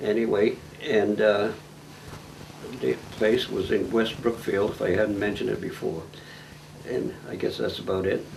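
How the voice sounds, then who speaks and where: Speaking at a moderate pace with long, frequent pauses, a man with an American accent is heard over noticeable background noise and audible room echo. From New England, central Massachusetts. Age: 90s. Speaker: elderly farm-raised interviewee. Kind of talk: oral history interview. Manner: halting.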